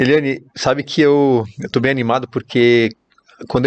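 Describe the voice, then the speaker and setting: Recorded dry and close with no echo, a man with a Brazilian accent speaks in a monotone, flat way at a fairly slow pace. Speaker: podcast host, real estate network manager. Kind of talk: podcast interview.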